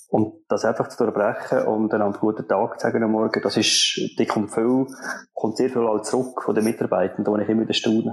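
The delivery comes at a fairly quick pace with monotone, flat intonation. Loudness stays very even throughout. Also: man, medium pitch for a man. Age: 40s. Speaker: production manager. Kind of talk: interview.

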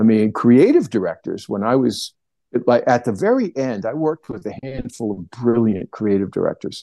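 A man's medium-pitched voice in a dark, mellow tone at a moderate pace, with a dry, close sound, no echo and a quiet background. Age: 60s. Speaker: plein air painter and art teacher. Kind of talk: casual interview chat. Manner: hesitant, many fillers.

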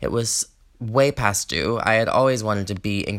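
Over a silent background in a very clean recording, a man speaks in an unremarkable speaking voice at a moderate pace with fairly even intonation. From US South, Georgia. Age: 20s. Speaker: podcast host, performer and songwriter. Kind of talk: casual solo podcast monologue.

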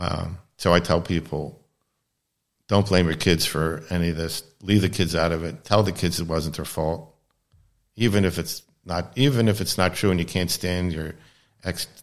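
Pitched very deep and low, a man with an American accent speaks with ordinary pitch variation and long, frequent pauses. The recording is very clean, with a silent background. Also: moderate pace. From US East Coast, Baltimore, Maryland. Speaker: anesthesiologist. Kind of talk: casual interview conversation.

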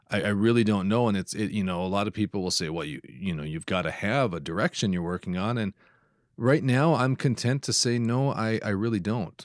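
Talking at a fairly quick pace, a man with a Minnesota accent uses lively intonation over a fairly low pitch. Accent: Upper Midwest (Minnesota) American. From northeastern Minnesota. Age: 30s. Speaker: photographer and podcaster. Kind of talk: casual interview chat. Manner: halting, frequent word repetitions.

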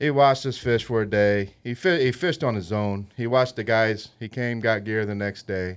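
With an American accent, a man talks in a plain, everyday voice at medium pitch and a moderate pace, using ordinary pitch variation, on a very clean recording with a silent background. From Indiana, Lafayette. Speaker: bait shop owner, army veteran. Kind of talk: casual chat. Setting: studio.

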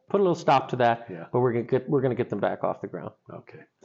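A man speaks with lively intonation at medium pitch. He has an unremarkable speaking voice. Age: 40s. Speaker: theater manager. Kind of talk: interview.

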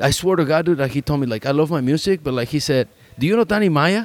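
Using lively intonation and a fairly high pitch, a man with a Spanish accent talks at a very fast pace. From Mexico. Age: 30s. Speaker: podcast host. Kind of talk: casual chat.

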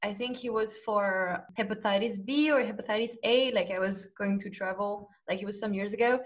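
A woman's somewhat breathy voice at medium pitch, fairly even intonation and hardly any pauses. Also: moderate pace. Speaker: podcast host and language teacher. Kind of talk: casual chat.

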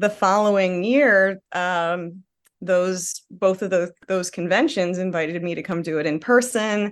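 In a quiet background, a woman speaks at a medium pitch and a fairly slow pace with ordinary pitch variation. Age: 40s. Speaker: comedian and author. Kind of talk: casual chat. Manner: animated.

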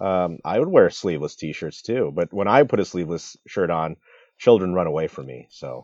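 Against a quiet background, a man with an American accent and a very deep, low pitch speaks with vocal fry and big swings in loudness. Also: lively intonation, moderate pace. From US Midwest. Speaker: podcast co-host. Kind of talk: casual chat.

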